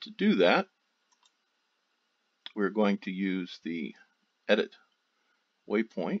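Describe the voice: A man speaks slowly at a fairly low pitch. His voice makes big pitch swings.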